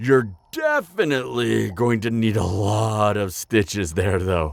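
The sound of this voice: Doing a put-on character voice, a man speaks slowly at a fairly low pitch, with big pitch swings and vocal fry.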